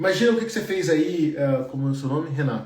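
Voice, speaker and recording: A man talks at a fairly high pitch. The room echo is audible. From Brazil. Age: 30s. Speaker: engineer and career coach. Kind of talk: live stream Q&A. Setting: live stream. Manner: casual, conversational.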